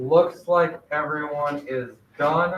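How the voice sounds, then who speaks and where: A man with a fairly high-pitched voice speaks in a monotone, flat way. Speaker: middle school math teacher. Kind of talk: classroom lesson. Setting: classroom with virtual students. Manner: loud.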